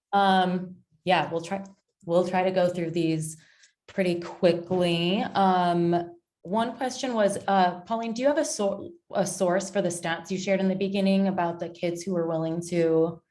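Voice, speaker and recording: A woman speaks at a medium pitch and a fairly slow pace, with ordinary pitch variation. Room echo is audible. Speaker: webinar moderator. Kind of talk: webinar Q&A moderation.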